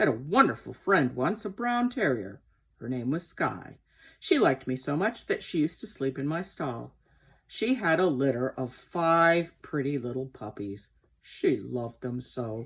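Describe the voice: This put-on character voice moves through big pitch swings at a fairly slow pace, with a slightly husky edge. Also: woman, extremely low pitch for a woman.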